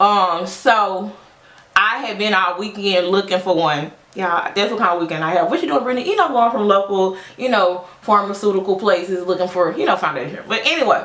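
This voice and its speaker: There is noticeable background noise and audible room echo. Through it, a woman talks at a fairly quick pace. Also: medium pitch for a woman, ordinary pitch variation. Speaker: social worker and beauty vlogger. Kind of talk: casual get-ready-with-me chat. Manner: loud; animated.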